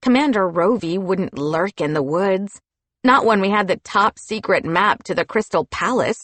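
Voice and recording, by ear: Against a quiet background, a voice with lively intonation reads aloud in a natural way.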